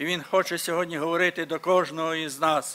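Here a man speaks in a high voice with a bright, sharp tone. His pace is moderate and his intonation monotone and flat. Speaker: church member leading prayer. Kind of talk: prayer. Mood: earnest, devotional. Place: church. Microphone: podium.

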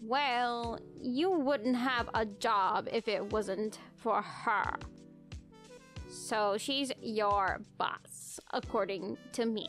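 A put-on character voice unfolds at a very slow pace. Clear music plays in the background. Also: woman, fairly high pitch for a woman. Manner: groggy, irritable, sarcastic; teasing, mocking.

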